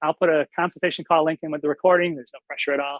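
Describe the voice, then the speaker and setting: A man talks at a very fast pace in a monotone, flat intonation. The sound is dry and close, with no echo. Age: 50s. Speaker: fitness coach. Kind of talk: webinar presentation.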